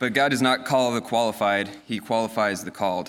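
Over a very clean recording with a silent background, an ordinary speaking voice with an American accent moves at a fairly quick pace with fairly even intonation. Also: man. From Colorado. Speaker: navy pilot. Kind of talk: testimony. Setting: church.

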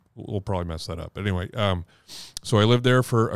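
A man with an American accent talks at a very fast pace in a fairly low pitch. The recording is very clean with a silent background, and the sound is dry and close with no echo. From New England (Maine, Boston). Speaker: senior pastor. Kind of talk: casual interview. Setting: church office. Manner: halting.

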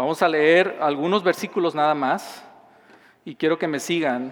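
Speaking at a fairly slow pace, a man with a Mexican accent has a fairly high-pitched voice. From southern Mexico. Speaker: pastor. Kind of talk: sermon.

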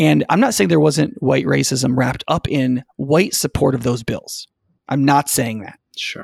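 Speaking at a fairly slow pace with vocal fry, a man keeps a medium pitch with ordinary pitch variation in a dry, close sound with no echo. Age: 40s. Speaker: lead pastor. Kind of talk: casual discussion.

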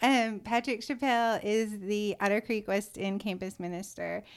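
A woman with an American accent speaks at a fairly slow pace in a very clean recording with a silent background. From US South, Georgia. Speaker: church ministry assistant. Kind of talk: interview.

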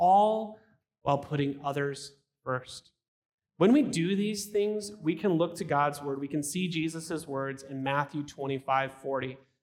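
An ordinary speaking voice from a man, fairly high in pitch, moving at a fairly slow pace with ordinary pitch variation. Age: 30s. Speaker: pastor. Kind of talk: sermon.

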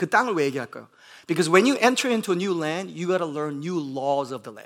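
Animated and lively in intonation, a man with an American accent speaks at a high pitch. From US Midwest, Bloomington, Indiana. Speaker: pastor. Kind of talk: sermon. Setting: church. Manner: code-switching between Korean and English.

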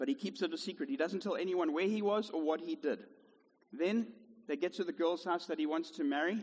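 An unforced reading voice carries the whole clip.

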